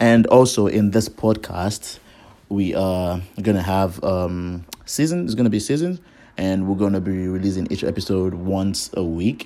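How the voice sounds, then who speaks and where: Speaking at a fairly slow pace, a man with a very deep, low pitch and a dark, mellow tone keeps his intonation fairly even. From Nigeria. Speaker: podcast host. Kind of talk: podcast introduction monologue. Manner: halting, many fillers.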